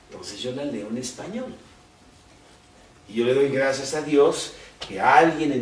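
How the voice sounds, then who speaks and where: Noticeable background noise and audible room echo surround a man's voice. He speaks at a fairly high pitch with lively intonation. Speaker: Bible teacher. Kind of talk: Bible study. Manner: conversational.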